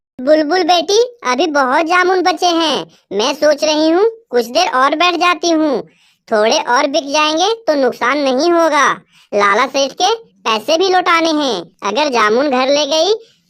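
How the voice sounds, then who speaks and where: A cartoonish character voice carries the speech. It moves at a moderate pace with lively intonation. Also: woman. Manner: soft, gentle.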